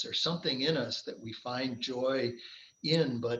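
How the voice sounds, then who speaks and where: A man talks at a fairly slow pace with a medium pitch. He has a plain, everyday voice. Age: 60s. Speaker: endurance athlete, triathlete. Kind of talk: casual interview chat.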